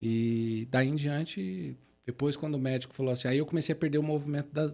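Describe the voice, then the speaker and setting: A man speaks at a fairly quick pace with a fairly high pitch. His loudness stays very even, with ordinary pitch variation. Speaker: motivational speaker, wheelchair user. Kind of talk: podcast interview, personal testimony.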